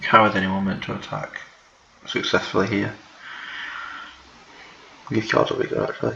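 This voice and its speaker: Whispering at a moderate pace with long, frequent pauses, a man is heard over noticeable background noise. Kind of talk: casual gameplay commentary. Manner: whispered.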